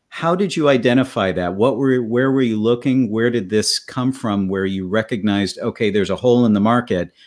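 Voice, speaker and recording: This man has a plain, everyday voice at medium pitch with ordinary pitch variation. He talks at a fairly quick pace with hardly any pauses over a quiet background. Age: 40s. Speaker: podcast host, drummer. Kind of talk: interview. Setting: video call.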